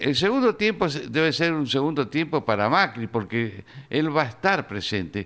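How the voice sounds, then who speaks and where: A man's fairly high voice, with vocal fry, swings very widely in pitch while holding a very even loudness and hardly any pauses. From Argentina. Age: 70s. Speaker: journalist and author; journalist. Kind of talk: interview. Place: studio. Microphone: studio mic.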